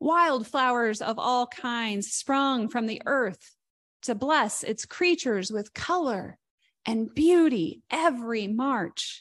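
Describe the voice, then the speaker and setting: A woman with a Midwestern American accent, high in pitch, with lively intonation at a very slow pace against a quiet background. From southern Indiana, Greene County. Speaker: guest minister. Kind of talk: sermon. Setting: church service.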